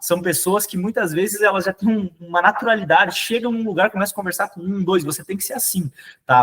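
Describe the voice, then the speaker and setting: A high-pitched male voice at a fairly quick pace. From southern Brazil, Rio Grande do Sul. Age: young. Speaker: sales manager and trainer. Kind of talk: sales training talk. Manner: fast; hesitant, many repetitions.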